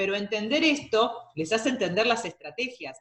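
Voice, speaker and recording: A woman speaks with lively intonation. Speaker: university lecturer. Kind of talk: lecture. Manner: fast.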